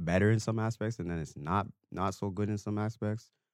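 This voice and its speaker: This man has a fairly low pitch and a Toronto accent, talking at a moderate pace in an animated tone with ordinary pitch variation, and the sound is dry and close with no echo. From Toronto, Canada. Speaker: dancer. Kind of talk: casual chat.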